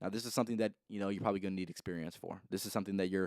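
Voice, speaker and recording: Here a man speaks at a fairly low pitch. The sound is dry and close with no echo, and the recording is very clean with a silent background. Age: 20s. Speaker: podcast host. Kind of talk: solo podcast monologue. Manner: fast.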